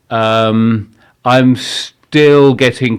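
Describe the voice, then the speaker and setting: A man talks with ordinary pitch variation. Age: 60s. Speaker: social psychologist and author. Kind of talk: podcast interview. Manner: halting, many restarts.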